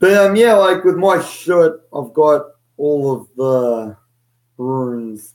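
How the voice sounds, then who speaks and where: With an Australian accent, a man speaks at a very slow pace and a fairly high pitch, with lively intonation and long, frequent pauses. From Australia (Sydney). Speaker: podcast co-host. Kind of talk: casual chat.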